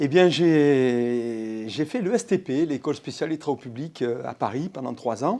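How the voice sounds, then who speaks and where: Against a quiet background, a man speaks at a fairly slow pace with hardly any pauses, his dark, mellow tone set at a fairly high pitch and carrying lively intonation. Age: 60s. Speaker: business owner, public works company head. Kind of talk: interview. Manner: hesitant, many fillers.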